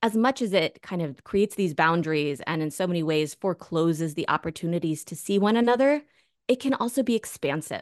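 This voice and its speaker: The speaker has a normal speaking voice with an American accent, lively intonation and a fairly quick pace. The sound is dry and close with no echo, over a quiet background. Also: woman. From US, Northern Virginia. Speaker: sociology professor and author. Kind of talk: interview.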